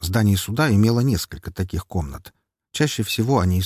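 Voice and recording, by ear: A quiet background behind a natural read-aloud voice.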